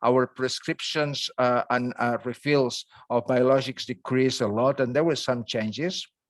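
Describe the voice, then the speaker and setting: A man speaks in a Catalan accent at a fairly slow pace, with medium pitch and fairly even intonation. His loudness stays very even, and the sound is dry and close with no echo. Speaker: dermatology professor. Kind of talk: lecture. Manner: halting, many fillers.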